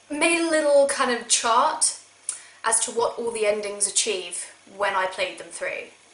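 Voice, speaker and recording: With audible room echo and noticeable background noise, a woman talks very slowly at a fairly high pitch with lively intonation. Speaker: video game vlogger. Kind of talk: casual vlog talk. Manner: sarcastic.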